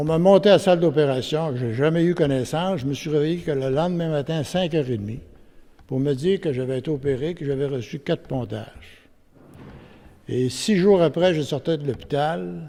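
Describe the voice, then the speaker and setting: A man with a Quebec accent, fairly high-pitched, at a moderate pace with ordinary pitch variation. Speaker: witness giving testimony. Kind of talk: testimony; reading aloud.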